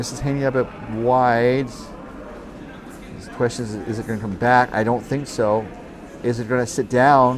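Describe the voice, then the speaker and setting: Delivery is monotone and flat at a moderate pace, with long, frequent pauses. Audible room echo and noticeable background noise fill the recording. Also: man, medium pitch for a man. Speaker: curling commentator. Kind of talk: live sports commentary. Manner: hesitant, many filler words.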